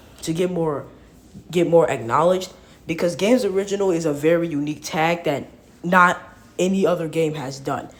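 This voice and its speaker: A woman with a fairly low pitch and ordinary pitch variation speaks at a fairly quick pace, with long, frequent pauses and audible room echo. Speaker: gaming youtuber. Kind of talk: casual commentary video. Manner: stuttering, hesitant.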